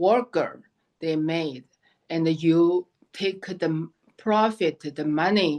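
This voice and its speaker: Speaking in a Chinese accent, a woman talks at a very slow pace with ordinary pitch variation. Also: quiet background. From China, Shanghai. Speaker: memoir author. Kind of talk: interview. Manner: halting.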